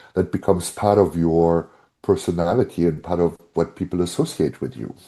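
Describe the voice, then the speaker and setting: A man with a German accent speaks at a moderate pace in a very deep, low pitch and a dark, mellow tone. The background is quiet. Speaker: brand strategist and author. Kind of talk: podcast interview.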